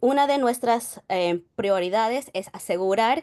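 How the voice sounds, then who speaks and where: Speaking fairly slowly against a quiet background, a woman uses lively intonation. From New York. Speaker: digital preservation archivist. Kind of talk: conference presentation. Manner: halting.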